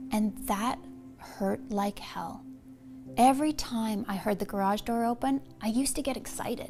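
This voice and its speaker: With music in the background, the speaker goes at a moderate pace with ordinary pitch variation. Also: woman, fairly high pitch for a woman. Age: 40s. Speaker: weight loss supplement spokeswoman. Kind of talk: sales pitch. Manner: storytelling, personal testimony.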